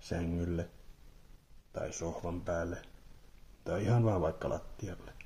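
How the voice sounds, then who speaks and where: Speaking at a very slow pace, a man has a very deep, low pitch, a dark, mellow, somewhat breathy tone and ordinary pitch variation. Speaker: ASMR creator. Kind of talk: ASMR relaxation guide, guided body relaxation. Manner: soft-spoken, calm, slow.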